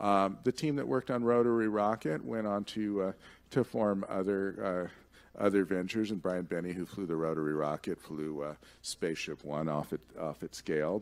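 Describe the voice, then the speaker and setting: At a moderate pace, a man with a very deep, low voice speaks with lively intonation. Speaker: commercial space policy expert and conference speaker. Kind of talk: conference talk with audience Q&A. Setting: stage with audience. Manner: conversational, with frequent fillers and repetitions. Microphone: podium.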